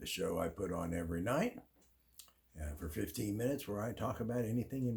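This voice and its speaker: Somewhat breathy and dark, mellow in tone, a man speaks at a very fast pace with lively intonation. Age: 70s. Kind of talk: casual talk to camera.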